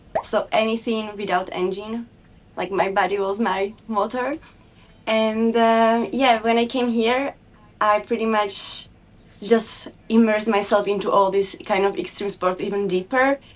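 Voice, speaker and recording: Speaking at a fairly slow pace, a woman with a Slovak accent uses a medium pitch. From Slovakia. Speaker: snowbike and motocross rider. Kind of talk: casual interview. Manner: halting.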